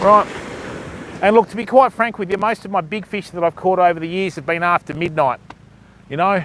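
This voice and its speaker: With an Australian accent, a man talks at a high pitch and a fairly quick pace, with ordinary pitch variation, long frequent pauses, and a dry, close sound with no echo. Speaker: fishing live streamer. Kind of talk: casual live stream commentary. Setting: outdoors on a beach at night.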